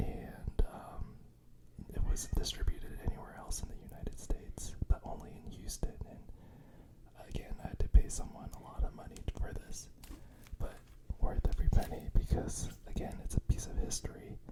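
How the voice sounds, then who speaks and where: Whispering at a moderate pace, a man shows big swings in loudness over noticeable background noise. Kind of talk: casual show and tell on a podcast-like video.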